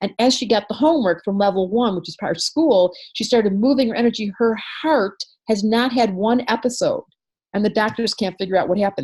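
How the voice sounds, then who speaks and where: The voice is somewhat breathy and animated, moving at a fairly quick pace with ordinary pitch variation. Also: woman, fairly high pitch for a woman. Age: 60s. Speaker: astrologer and psychologist. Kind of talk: interview.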